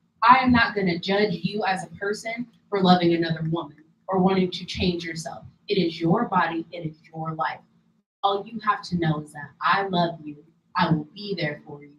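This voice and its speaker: A woman's fairly low voice at a moderate pace, with ordinary pitch variation and big swings in loudness. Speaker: podcast panelist. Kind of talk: casual chat.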